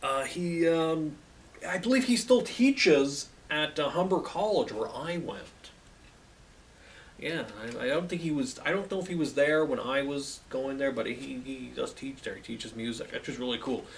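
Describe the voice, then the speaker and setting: With a Canadian accent, a speaker talks at a moderate pace with lively intonation, over noticeable background noise and audible room echo. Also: man, fairly high pitch for a man. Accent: very Canadian. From Canada. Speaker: music video host. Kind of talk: casual monologue. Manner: hesitant, repeats words.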